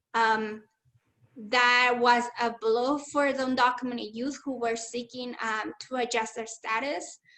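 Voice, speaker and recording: A woman with a Spanish accent talks fairly slowly in a high, bright, sharp voice. Her intonation is flat and monotone. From Mexico, Chihuahua. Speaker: community organizer and activist. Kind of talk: webinar talk.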